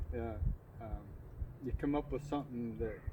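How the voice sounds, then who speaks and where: Here a man speaks with fairly even intonation. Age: 60s. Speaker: local business owner, security systems. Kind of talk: casual interview. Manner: hesitant, many fillers.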